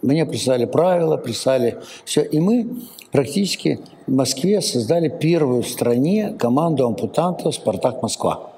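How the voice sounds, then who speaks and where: His pitch is fairly high and swings very widely. The man keeps a moderate pace with very even loudness. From Kazakhstan. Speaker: sports federation president. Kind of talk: interview. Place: studio. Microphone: lapel.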